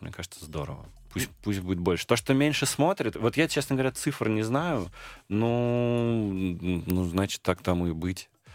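A man talks at a moderate pace in a plain, everyday voice. The sound is dry and close, with no echo. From Moscow region, Russia. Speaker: film and theatre director. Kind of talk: radio interview.

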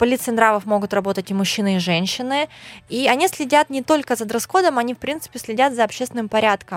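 A woman with a fairly high pitch races along at a very fast pace with lively intonation, recorded with a dry, close sound with no echo and a silent background in a very clean recording. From Russian Far East, Khabarovsk. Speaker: blogger. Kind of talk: casual interview.

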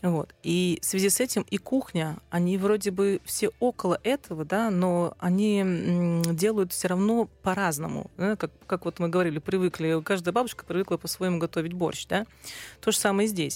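The speech moves at a moderate pace with very even loudness, in a very clean recording with a silent background and a dry, close sound with no echo. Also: woman, medium pitch for a woman. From Russian Far East (Sakhalin). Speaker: food journalist and publisher. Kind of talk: casual chat. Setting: studio. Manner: animated.

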